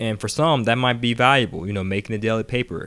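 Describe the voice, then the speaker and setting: A man speaks in a normal speaking voice at medium pitch with ordinary pitch variation. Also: very clean recording, silent background. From Atlanta, Georgia, US South. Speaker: real estate investor and audiobook author. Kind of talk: audiobook narration, informal monologue. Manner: casual, conversational with fillers.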